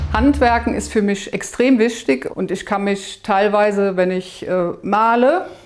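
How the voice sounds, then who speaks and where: A woman's very slow delivery, medium pitch and lively intonation. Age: 60s. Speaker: home owner giving a room tour. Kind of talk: casual room tour presentation.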